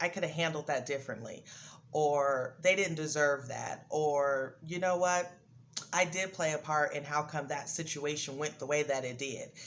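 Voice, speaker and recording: The speaker moves at a moderate pace with fairly even intonation. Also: woman, very deep, low pitch for a woman. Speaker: video blogger giving life advice. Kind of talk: casual motivational monologue. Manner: loud.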